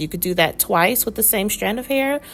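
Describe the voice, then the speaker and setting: Her voice shows vocal fry and very wide pitch swings as the woman speaks. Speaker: hair tutorial youtuber. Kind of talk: tutorial. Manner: casual and chatty.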